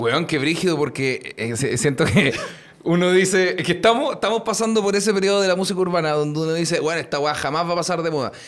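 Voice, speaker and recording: Very rapid, lively speech with a Chilean accent over noticeable background noise. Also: man, high pitch for a man. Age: 20s. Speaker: podcast host. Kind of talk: casual chat.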